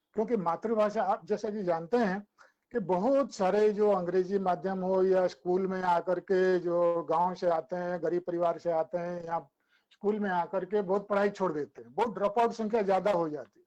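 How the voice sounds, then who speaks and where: A man's high, dark and mellow voice with fairly even intonation. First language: Odia (speaking Hindi). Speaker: academic speaker. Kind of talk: webinar talk. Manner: halting, with filler sounds.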